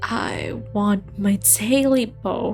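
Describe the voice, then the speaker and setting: A woman in a hoarse, put-on character voice speaks over clear music in the background. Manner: croaking.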